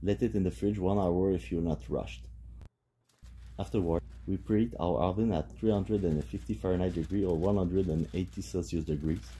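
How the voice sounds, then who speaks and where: In a French accent, a man talks at a fairly quick pace with a very deep, low pitch, a dark, mellow tone, very wide pitch swings and vocal fry. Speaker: home cook. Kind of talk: tutorial.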